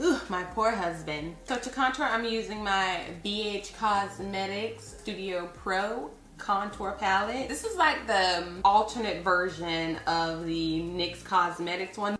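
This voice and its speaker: A woman's medium-pitched voice at a fairly slow pace, with ordinary pitch variation, hardly any pauses, and audible room echo. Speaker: beauty youtuber. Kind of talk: tutorial. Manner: animated; casual.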